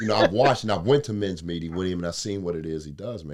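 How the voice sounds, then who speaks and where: Captured in a very clean recording with a silent background, a man with a very deep, low pitch speaks with ordinary pitch variation. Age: 60s. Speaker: comedian. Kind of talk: casual chat.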